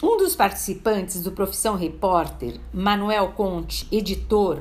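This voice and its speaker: Fairly slow speech from a woman in a space with audible room echo. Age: 60s. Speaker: event caterer and actress. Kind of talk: prepared personal testimony.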